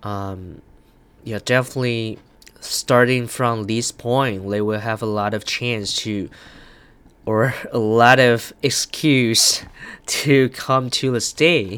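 A man speaks very slowly with a Chinese accent and fairly even intonation. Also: medium pitch for a man. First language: Mandarin Chinese. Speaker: podcaster. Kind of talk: casual monologue. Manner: halting, many fillers.

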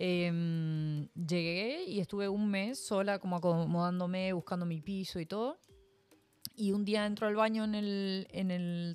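A woman's medium-pitched voice in an Argentine accent, fairly even in intonation, with music in the background. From Argentina, Mendoza. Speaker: guest. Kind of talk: casual chat.

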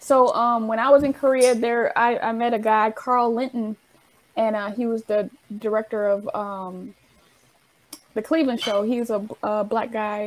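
A woman's plain, everyday voice, fairly high in pitch, at a moderate pace with fairly even intonation. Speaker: interviewer. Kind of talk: casual interview.

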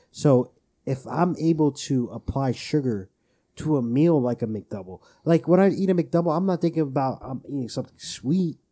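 A man's dark, mellow tone at a fairly high pitch, lively intonation and a moderate pace, in a very clean recording with a silent background. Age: 20s. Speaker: podcast co-host. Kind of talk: casual chat.

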